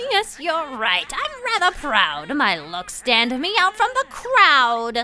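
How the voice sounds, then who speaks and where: A put-on character voice moves at a very slow pace with hardly any pauses. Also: female-sounding voice, high pitch for a woman. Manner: vain, boastful.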